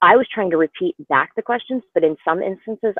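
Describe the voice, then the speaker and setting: With lively intonation, a woman delivers her words at a fairly quick pace. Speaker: company executive and conference speaker. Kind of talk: casual discussion. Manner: fast.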